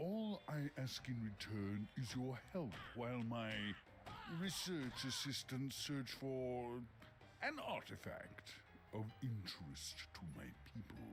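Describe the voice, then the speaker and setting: A man uses a put-on character voice at medium pitch, speaking at a fairly slow pace. Long, frequent pauses break it up, and background noise is clear. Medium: video game. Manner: grandiose, chuckling, theatrical.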